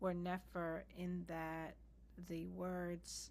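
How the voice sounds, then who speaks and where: Soft-spoken, a woman talks in a space with audible room echo. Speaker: practice participant. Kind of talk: casual chat. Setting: video call.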